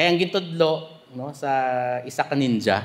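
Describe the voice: Lively intonation runs through the speech. The pace is moderate. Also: man, fairly high pitch for a man.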